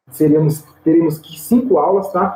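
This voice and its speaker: At a moderate pace, a man with a fairly high pitch uses an ordinary speaking voice. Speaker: theology teacher. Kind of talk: online lecture. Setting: recorded online video class. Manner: casual, filler-heavy (tá, né, é).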